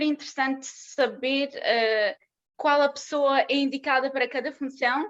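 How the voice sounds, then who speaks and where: Against a quiet background, a woman speaks at a high pitch with a non-native accent. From southern Russia (Maikop), moved to Portugal at 13-14. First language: Russian (speaking Portuguese). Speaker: conference speaker, film production graduate. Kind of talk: conference talk. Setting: online conference. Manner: halting, many fillers and false starts.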